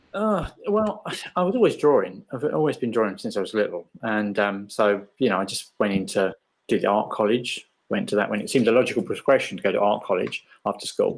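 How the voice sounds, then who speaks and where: At a fairly quick pace, a man talks in an English accent. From England. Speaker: illustrator. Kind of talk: interview.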